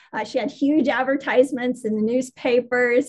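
A high-pitched woman speaks with fairly even intonation in an American accent. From Las Vegas, US. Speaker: historian. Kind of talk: interview.

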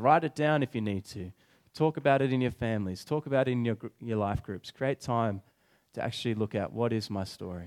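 Recorded very clean with a silent background and a dry, close sound with no echo, a plain, everyday voice talks at a fairly quick pace with ordinary pitch variation. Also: man. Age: 20s. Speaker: preacher. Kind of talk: sermon.

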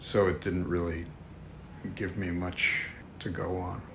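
In a New York accent, a man speaks at a very slow pace with a very deep, low pitch and monotone, flat intonation, with audible room echo. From New York City. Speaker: art director and author. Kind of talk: casual chat. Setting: office.

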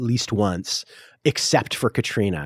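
A man with an American accent. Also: very clean recording, silent background. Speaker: playwright. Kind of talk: casual interview chat.

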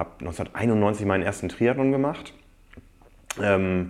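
This is a man with a fairly low voice. His intonation is lively. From northern Germany, Osnabrück. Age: 40s. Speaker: magazine publisher and triathlete. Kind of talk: interview conversation. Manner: hesitant with many fillers.

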